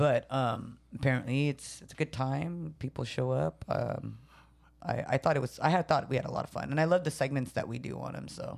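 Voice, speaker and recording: Talking at a fairly quick pace with big swings in loudness, a woman speaks in a Filipino accent. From San Jose, California. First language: Tagalog. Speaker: podcast co-host, comedian. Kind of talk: casual chat. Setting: studio.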